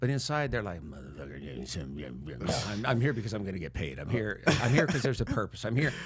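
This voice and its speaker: With audible room echo, a man talks at a fairly quick pace with hardly any pauses, his fairly low pitch swinging very widely over vocal fry. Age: 60s. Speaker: mental health coach. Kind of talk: casual chat.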